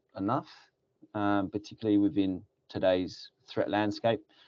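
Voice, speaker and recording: This man speaks with a British accent. His pitch is fairly low and his pace is moderate. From UK. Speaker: security company regional director. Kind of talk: webinar presentation. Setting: webinar.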